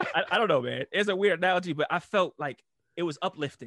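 With vocal fry and lively intonation, a man speaks at a very fast pace. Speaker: podcast host. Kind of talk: casual chat.

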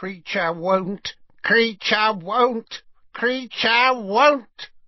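A loud, croaky put-on character voice with a fairly high pitch speaks at a very slow pace. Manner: loud, stubborn.

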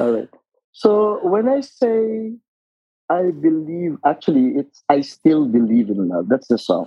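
Speaking fairly slowly with a Filipino accent, a man uses a fairly high pitch that swings very widely. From Philippines, Biñan, Laguna. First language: Tagalog. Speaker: retired occupational therapist. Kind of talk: casual interview.

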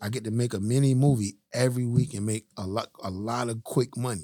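The speaker has a plain, everyday voice and talks at a fairly quick pace with ordinary pitch variation. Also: man. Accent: American. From Miami, Florida (West Perrine). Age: 40s. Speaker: film and music video director. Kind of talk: interview testimony.

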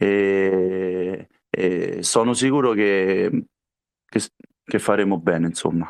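A man against a quiet background. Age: 30s. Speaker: futsal player. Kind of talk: interview. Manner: halting.

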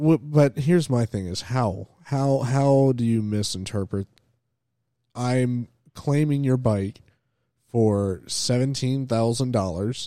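This man, with an American accent, has a medium-pitched voice with a dark, mellow tone and ordinary pitch variation, talking at a very slow pace in a dry, close sound with no echo. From Florida. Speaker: motocross podcast host. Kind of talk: casual chat.

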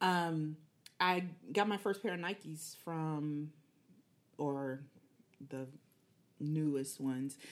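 Speaking with an American accent, a woman talks at a very slow pace in a very deep, low pitch, with ordinary pitch variation and long, frequent pauses. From Killeen, Texas. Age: 40s. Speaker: fitness enthusiast, mother. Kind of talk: casual podcast interview.

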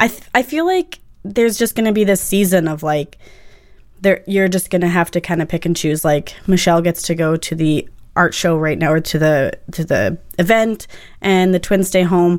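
Her pitch is fairly low for a woman. She speaks at a moderate pace. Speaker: stay-at-home parent podcast co-host. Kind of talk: casual chat. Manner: animated.

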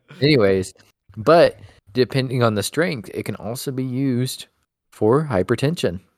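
A man with a plain, everyday voice at a medium pitch, his pitch varying in an ordinary way, his pace moderate. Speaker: podcast co-host. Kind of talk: casual chat.

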